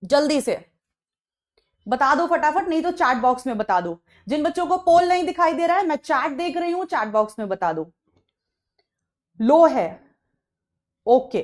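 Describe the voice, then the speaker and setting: A woman talks in a high pitch with very wide pitch swings. She leaves long, frequent pauses against a quiet background. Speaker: online biology teacher. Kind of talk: live online lecture. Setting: live stream class. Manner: soft, low volume.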